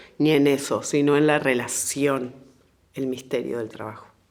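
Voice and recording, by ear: A woman talks at a fairly slow pace. Her pitch is extremely low.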